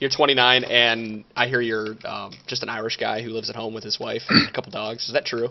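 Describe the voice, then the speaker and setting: Against noticeable background noise, a man with a Michigan accent speaks at a medium pitch and a fairly quick pace, hardly pausing, his intonation flat and monotone while his loudness swings widely. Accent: Michigan accent, described as whiny. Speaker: podcast co-host. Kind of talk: casual chat.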